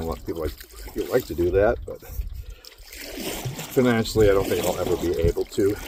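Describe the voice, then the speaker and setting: A man with an American accent talks at a very fast pace yet leaves long, frequent pauses. Noticeable background noise is present. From Minnesota, Minneapolis. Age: 50s. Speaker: vlogger, truck driver. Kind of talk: casual vlog monologue. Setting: outdoors, in a canoe on a lake.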